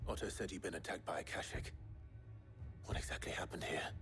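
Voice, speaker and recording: A man whispers in a put-on character voice at a very fast pace. Loud background noise can be heard. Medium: video game. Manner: terse, grave.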